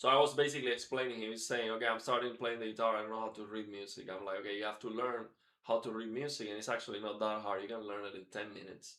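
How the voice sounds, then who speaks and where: A man with a Spanish accent talks at a very fast pace with hardly any pauses, his medium-pitched voice bright and sharp in tone. His intonation stays fairly even while his loudness swings widely. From Cuba. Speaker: guitar teacher. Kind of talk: live stream guitar lesson. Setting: live stream. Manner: casual, halting with fillers.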